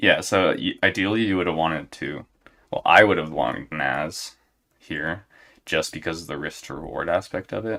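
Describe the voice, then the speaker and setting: With a very deep, low pitch, a man speaks in a relaxed, bright and sharp tone with vocal fry. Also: ordinary pitch variation, moderate pace, very clean recording, silent background. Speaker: trading educator streaming live. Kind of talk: live trading stream commentary.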